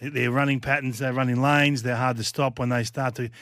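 A man with an Australian accent at a medium pitch. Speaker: football pundit. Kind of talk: sports preview chat. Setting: radio studio.

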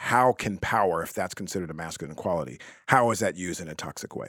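Very deep and low, a man's voice with vocal fry moves at a fairly quick pace with lively intonation, in a very clean recording with a silent background. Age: 50s. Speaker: podcast co-host. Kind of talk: podcast interview; scripted show announcement.

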